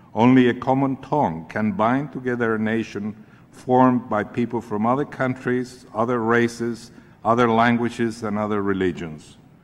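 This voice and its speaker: A man with a Spanish accent speaks at a moderate pace, his medium pitch following fairly even intonation. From Chile. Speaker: advocacy group leader. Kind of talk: congressional testimony. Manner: formal.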